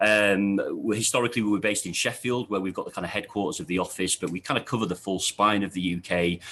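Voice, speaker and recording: With a Yorkshire accent, a man talks at a very fast pace in a fairly low voice with a bright, sharp tone, ordinary pitch variation and hardly any pauses. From Yorkshire, northern England. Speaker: architect, office head. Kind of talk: interview answers. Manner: hesitant, many fillers.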